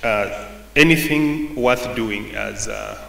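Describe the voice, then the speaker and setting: A man is speaking. Room echo is audible, and there is light background noise. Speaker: presenter. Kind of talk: presentation talk. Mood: relaxed, friendly. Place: hall. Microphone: podium.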